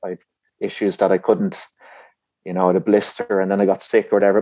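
In an Irish accent, a man talks at a fairly quick pace with a fairly low pitch and a dark, mellow tone. His intonation is monotone and flat, and the sound is dry and close with no echo. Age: 30s. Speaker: distance runner. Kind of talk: interview.

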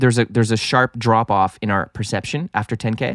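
Recorded very cleanly against a silent background, with a dry, close sound and no echo, a man speaks at a moderate pace. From Canada, French-speaking homeschooled. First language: French. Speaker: music producer and engineer. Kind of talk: casual chat. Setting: studio.

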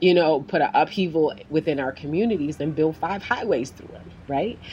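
A woman with a New York accent talks at a moderate pace in an animated tone. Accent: New York City. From South Bronx, New York City. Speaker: physician and community organizer. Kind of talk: interview.

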